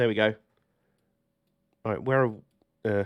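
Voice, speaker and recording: Talking at a fairly quick pace, a man with a British accent keeps his intonation fairly even. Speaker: streamer playing train simulator. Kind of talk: live gameplay stream commentary. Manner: casual, chatty.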